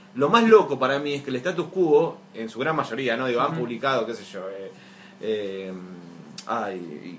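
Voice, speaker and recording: A man with a Rioplatense accent talks at a moderate pace, his pitch swinging very widely and his loudness shifting a lot. Noticeable background noise runs under him. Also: medium pitch for a man. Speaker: podcast host. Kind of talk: casual chat.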